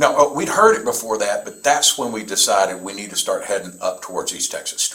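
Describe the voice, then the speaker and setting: Over noticeable background noise, a man with a Southern US accent talks at a fairly quick pace with hardly any pauses and big swings in loudness. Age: 60s. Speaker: reserve police officer / prosecutor. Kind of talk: police interview statement. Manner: casual, halting.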